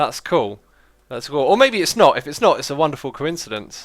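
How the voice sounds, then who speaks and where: In a British accent, the speaker moves at a fairly quick pace with lively intonation on a very clean recording with a silent background. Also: man. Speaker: gaming livestreamer. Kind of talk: casual livestream chat with viewers. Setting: livestream. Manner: casual, conversational with fillers.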